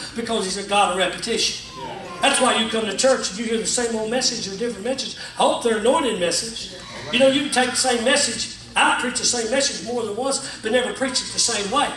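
With a raised, projected voice of extremely high pitch, a man talks at a very fast pace with ordinary pitch variation, amid light background noise and audible room echo. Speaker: pastor. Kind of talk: sermon. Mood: emotional, folksy storytelling. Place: church. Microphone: camera far.

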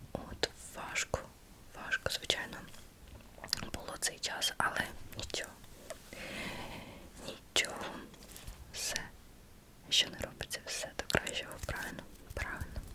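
A woman whispers, leaving long, frequent pauses. Noticeable background noise can be heard. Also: fairly slow pace. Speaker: massage therapist. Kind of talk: ASMR whispered chat. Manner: whispered.

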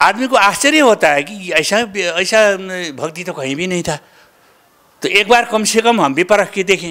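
Against a quiet background, a man uses a raised, projected voice with a high pitch, a bright, sharp tone and lively intonation. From Nepal. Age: 70s. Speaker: retired school inspector and Sanskrit scholar. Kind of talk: interview testimony. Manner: halting. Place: studio. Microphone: handheld.

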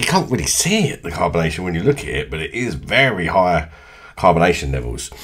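A man's fairly bright tone with big pitch swings

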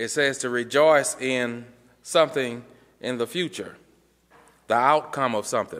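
With long, frequent pauses, a man talks at a fairly slow pace using fairly even intonation. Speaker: preacher. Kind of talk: sermon. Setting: church. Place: church. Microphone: podium.

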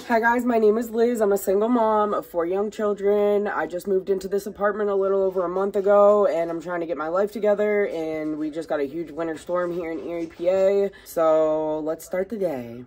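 Ordinary pitch variation from a woman speaking at a fairly quick pace. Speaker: single mom vlogger. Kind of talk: casual vlog chat. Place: home room. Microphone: phone near.

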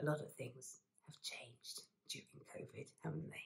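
A soft-spoken woman talks in a warm, gentle tone at a fairly slow pace. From London, UK. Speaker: actress and singer, ASMR creator. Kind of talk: soft-spoken ASMR talk to camera, personal storytelling. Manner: soft-spoken, warm, positive, gentle.

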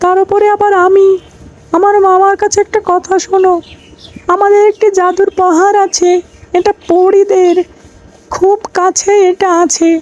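An extremely high-pitched cartoonish character voice at a fairly slow pace. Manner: confident.

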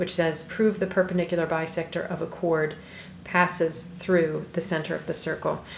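A woman's flat, monotone voice at a fairly low pitch and moderate pace, with audible room echo and light background noise. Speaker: math teacher. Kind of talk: tutorial. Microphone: phone near.

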